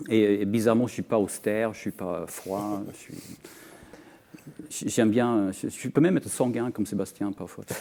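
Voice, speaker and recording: Fairly low, dark and mellow male speech in a Scandinavian accent, at a moderate pace with long, frequent pauses and big swings in loudness. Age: 50s. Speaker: author. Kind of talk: panel discussion. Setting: TV studio. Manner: halting, many repetitions.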